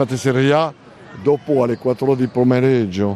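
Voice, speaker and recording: A man talks with a French accent. Noticeable background noise runs underneath. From France, Normandy. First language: French (speaking Italian). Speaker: food market vendor. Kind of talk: guided tour interview. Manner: halting.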